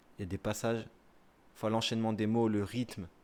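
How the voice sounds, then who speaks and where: This man's voice is fairly low. He talks fairly quickly. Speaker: streamer reading the dictionary. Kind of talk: casual live-stream chat and dictionary reading. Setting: live stream.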